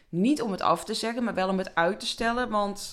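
Over a very clean recording with a silent background, a woman speaks in a plain, everyday voice with fairly even intonation. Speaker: podcast host and coach. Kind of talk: personal storytelling monologue.

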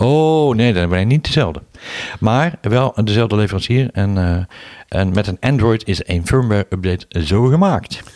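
In a very clean recording with a silent background and a dry, close sound with no echo, a man uses an ordinary speaking voice, fairly low in pitch, with lively intonation at a fairly slow pace. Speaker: podcast co-host. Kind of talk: casual chat.

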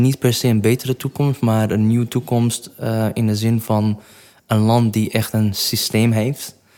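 Recorded very cleanly against a silent background, a man talks at a moderate pace with a dark, mellow tone. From Iraq. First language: not Dutch (Iraqi origin) (speaking Dutch). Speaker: entrepreneur. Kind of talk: interview.

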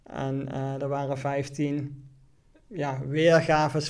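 A man speaks at a fairly high pitch, very slowly. His intonation is monotone and flat. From Netherlands, Venray (Limburg). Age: 30s. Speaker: entrepreneur. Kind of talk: interview. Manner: halting.

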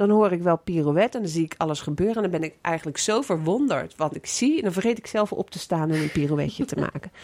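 This woman speaks at a very fast pace. Her intonation is lively. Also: fairly low pitch for a woman. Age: 60s. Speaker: podcast host. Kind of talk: casual interview.

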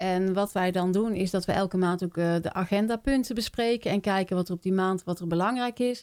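In a very clean recording with a silent background, a woman with an unremarkable speaking voice talks at a fairly quick pace, medium pitch and ordinary pitch variation. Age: 50s. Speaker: village council member. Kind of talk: interview.

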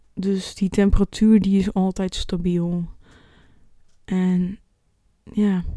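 A woman at medium pitch, very slow and monotone with flat intonation, broken by long, frequent pauses. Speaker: podcast host. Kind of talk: solo podcast monologue. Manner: halting, many fillers.

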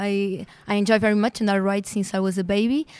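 With a Portuguese accent, a woman speaks at a medium pitch and a fairly quick pace. Her intonation stays fairly even, and the recording is very clean with a silent background. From Portugal. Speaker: veterinarian. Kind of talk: interview.

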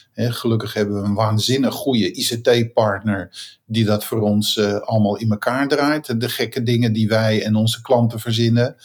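A man's unremarkable speaking voice at medium pitch and a moderate pace, with fairly even intonation and very even loudness. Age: 60s. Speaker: continuous improvement consultant and software founder. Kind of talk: interview.

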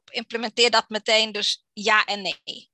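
Dry and close with no echo, a woman speaks in a bright, sharp tone with a flat monotone. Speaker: copywriter and blogger. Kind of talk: interview. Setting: video call.

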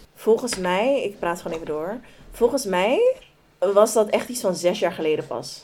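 Over noticeable background noise, a woman speaks at a moderate pace with lively intonation and big swings in loudness. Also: medium pitch for a woman. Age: 20s. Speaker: podcast co-host. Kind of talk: casual chat.

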